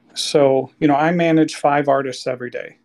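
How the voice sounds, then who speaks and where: A man's fairly high-pitched voice. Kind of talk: casual chat. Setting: video call.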